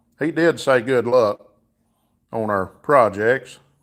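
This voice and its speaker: Recorded very cleanly against a silent background, a man with a Southern US accent speaks at a medium pitch. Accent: southern drawl. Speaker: livestreamer, car mechanic hobbyist. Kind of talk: casual live stream chat. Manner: casual, filler-heavy.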